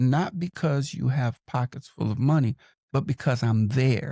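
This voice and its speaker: A man's somewhat breathy, dark, mellow voice at medium pitch and a fairly slow pace, in a dry, close sound with no echo. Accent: American. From Los Angeles, California. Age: 60s. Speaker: podcaster and mentor. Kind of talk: interview.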